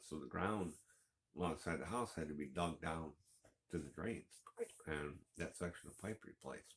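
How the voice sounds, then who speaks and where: Soft-spoken and with an American accent, a man talks at a moderate pace in a very deep, low pitch with ordinary pitch variation. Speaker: homesteading vlogger. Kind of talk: casual vlog monologue. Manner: halting, many fillers.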